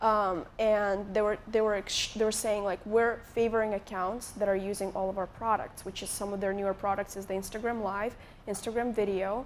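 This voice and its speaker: Hardly pausing, a woman with an Eastern European accent speaks at a medium pitch in a monotone, flat intonation. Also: moderate pace. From Moldova. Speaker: YouTuber. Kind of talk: live interview on stage. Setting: stage with audience.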